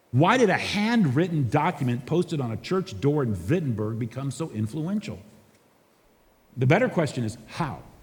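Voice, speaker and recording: This man's voice is fairly high and somewhat breathy. His pitch swings very widely. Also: moderate pace. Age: 60s. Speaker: pastor. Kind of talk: conference talk.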